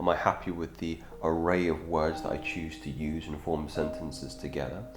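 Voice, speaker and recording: A man with an English accent speaks at a moderate pace in a very deep, low pitch, with ordinary pitch variation. Music plays in the background, and room echo is audible. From England. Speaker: self-improvement youtuber. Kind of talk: impromptu advice monologue. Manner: articulate, with frequent fillers.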